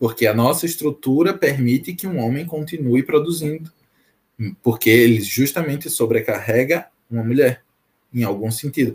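A somewhat breathy male voice at medium pitch with ordinary pitch variation. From Sergipe, Brazil (Aracaju, northern zone). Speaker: PhD researcher. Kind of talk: casual interview on a live stream.

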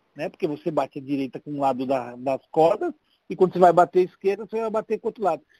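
A man speaks very fast with a dark, mellow tone, a high pitch and lively intonation, in a dry, close sound with no echo. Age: 50s. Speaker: paralympic wheelchair tennis player. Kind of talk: casual chat.

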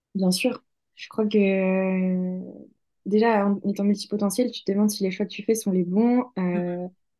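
A woman with a dark, mellow tone and medium pitch talks at a fairly slow pace in a monotone, flat intonation, with big swings in loudness. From France, Lyon. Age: 20s. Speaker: author and hypnotherapist. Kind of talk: interview. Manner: halting, many fillers.

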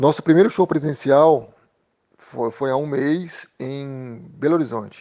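With an unremarkable speaking voice, this man talks at a fairly high pitch. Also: ordinary pitch variation. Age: 40s. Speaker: drummer and music school owner. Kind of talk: interview.

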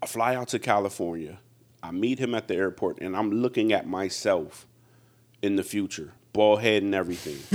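A man talks at a moderate pace in an unremarkable speaking voice, fairly low in pitch with ordinary pitch variation. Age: 40s. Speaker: comedian. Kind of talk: casual chat.

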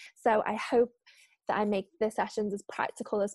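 A woman with a Liverpool accent speaks at a fairly high pitch on a very clean recording with a silent background, the sound dry and close with no echo. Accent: Liverpool (Scouse). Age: 20s. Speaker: freelance journalist and trainer. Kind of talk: casual chat.

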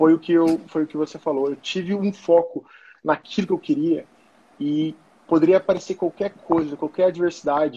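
A man with high pitch and a dark, mellow tone talks at a moderate pace with fairly even intonation, in a dry, close sound with no echo. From São Paulo state, Brazil. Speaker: former American football player and coach. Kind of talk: casual interview on a live stream.

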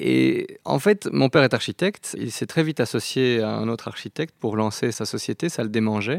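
A man speaks at a moderate pace with hardly any pauses. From Belgium, Brussels. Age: 30s. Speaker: operations manager at an architecture firm. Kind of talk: interview.

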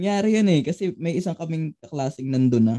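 With a plain, everyday voice, a man talks at a fairly quick pace with lively intonation. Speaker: podcast co-host, college student. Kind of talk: casual chat.

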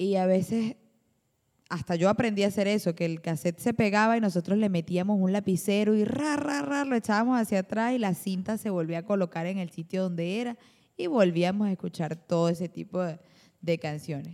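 A woman talks in an ordinary speaking voice at a medium pitch. Her pace is fairly quick and her pitch varies in an ordinary way. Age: 20s. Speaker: band vocalist. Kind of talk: casual chat.

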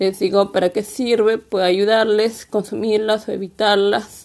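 A woman's fairly high voice, monotone and flat, at a fairly slow pace, on a very clean recording with a silent background. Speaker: podcaster on health and beauty. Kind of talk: solo podcast monologue. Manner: halting, many fillers.

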